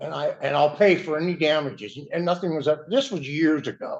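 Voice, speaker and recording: Keeping a moderate pace, a man speaks with lively intonation. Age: 60s. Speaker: respondent in a court hearing. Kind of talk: court testimony. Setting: courtroom. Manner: agitated.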